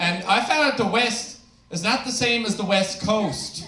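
Over noticeable background noise, a raised, projected voice moves at a moderate pace. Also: man. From Newfoundland, Canada. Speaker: stand-up comedian. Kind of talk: stand-up comedy set. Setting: stage with audience. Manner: sarcastic, crude, storytelling.

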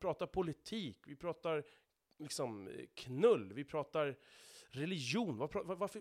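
A man speaks in a fairly high pitch with very wide pitch swings. The sound is dry and close, with no echo. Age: 30s. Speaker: podcast host, truck driver. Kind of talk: solo monologue podcast. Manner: repeats words, stumbles.

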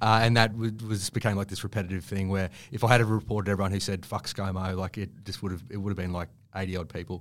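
The recording is very clean with a silent background. A man with an Australian accent and a fairly low pitch talks very fast with fairly even intonation. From Queensland, Australia. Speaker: writer and journalist. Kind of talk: casual interview. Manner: halting, with many fillers and restarts.

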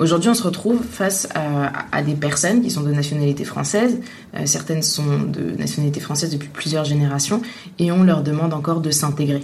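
A woman with a very deep, low voice and ordinary pitch variation speaks at a fairly quick pace amid audible room echo and noticeable background noise. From Tunisia. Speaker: journalist. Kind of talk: interview. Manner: hesitant, many fillers.

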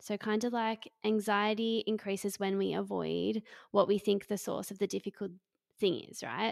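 On a very clean recording with a silent background and a dry, close sound with no echo, a woman in an Australian accent speaks at a medium pitch and moderate pace with monotone, flat intonation. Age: 20s. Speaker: psychotherapist. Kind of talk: interview.

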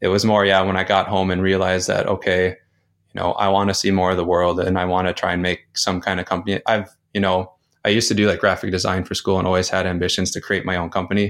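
A man with a Midwestern American accent speaks very fast in a very deep, low voice with monotone, flat intonation. The recording is very clean, with a silent background. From US Midwest, North Dakota. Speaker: travel blogger. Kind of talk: casual interview chat.

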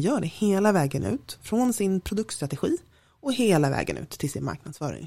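A woman with a Stockholm accent speaks at a moderate pace. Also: very clean recording, silent background. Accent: Stockholm accent, clearly audible. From Stockholm, Sweden. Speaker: diversity network co-founder, strategist. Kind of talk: podcast interview.

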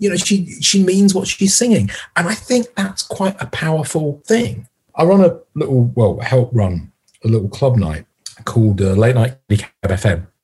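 This man's voice is fairly high in pitch and somewhat breathy. His pitch swings very widely. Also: moderate pace. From Yorkshire, northern England. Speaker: music critic. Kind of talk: casual chat.

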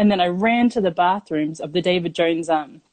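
In an Australian accent, a woman speaks at a moderate pace with a fairly low pitch and ordinary pitch variation. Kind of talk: storytelling.

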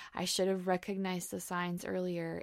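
In a very clean recording with a silent background, a woman of medium pitch talks at a moderate pace in an unremarkable speaking voice. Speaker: podcast co-host and NICU mom. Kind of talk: casual interview.

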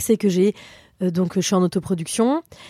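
Recorded very cleanly with a silent background and a dry, close sound with no echo, a woman speaks in a medium pitch with a dark, mellow tone. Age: 30s. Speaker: comedian. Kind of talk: casual chat.

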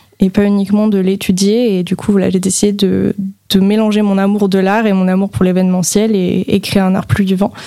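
A woman's medium-pitched voice at a fairly quick pace, over noticeable background noise. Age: 20s. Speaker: museum manager. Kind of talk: radio interview. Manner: hesitant with many fillers.

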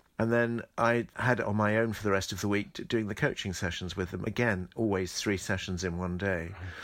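In a very clean recording with a silent background, a man speaks at a moderate pace with a fairly low pitch and fairly even intonation. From southeast England, Medway Towns, Kent. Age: 60s. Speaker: choreographer and former ballet dancer. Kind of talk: interview. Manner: halting.

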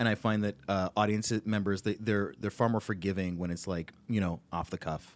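A man's plain, everyday voice, fairly low in pitch, at a moderate pace with hardly any pauses and fairly even intonation, on a very clean recording with a silent background. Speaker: comedian and voice actor. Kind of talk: casual chat.

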